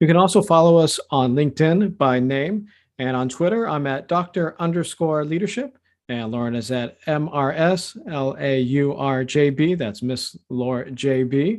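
Fairly high in pitch, a man talks in an ordinary speaking voice with ordinary pitch variation. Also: moderate pace. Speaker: podcast host. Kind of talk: interview.

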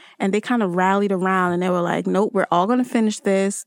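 A woman with a New Jersey accent speaks at a medium pitch in a monotone, flat way on a very clean recording with a silent background. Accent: New Jersey American. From Newark, New Jersey (Trinidadian family). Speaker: tech industry academic relations manager. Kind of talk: interview.

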